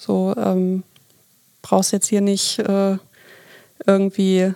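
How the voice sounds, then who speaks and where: 2.A woman's dark, mellow tone, dry and close with no echo. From Hamburg, northern Germany. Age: 30s. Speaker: team leader. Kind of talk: podcast interview.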